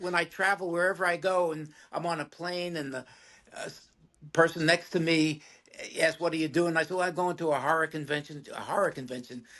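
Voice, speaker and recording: Bright and sharp in tone, a voice with a New York accent moves at a fairly quick pace with fairly even intonation. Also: man, high pitch for a man. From New York City (Bronx). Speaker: film actor. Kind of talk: casual interview.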